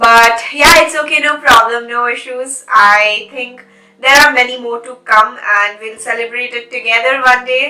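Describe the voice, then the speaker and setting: Against noticeable background noise, a woman with a high pitch speaks at a moderate pace in fairly even intonation, her loudness swinging widely. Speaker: beauty vlogger. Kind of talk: makeup tutorial chat.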